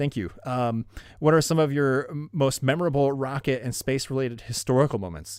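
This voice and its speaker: A man of medium pitch at a fairly quick pace with ordinary pitch variation, in a very clean recording with a silent background. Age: 30s. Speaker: YouTube space channel host. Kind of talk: live stream Q&A chat. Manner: casual, hesitant with many fillers; enthusiastic.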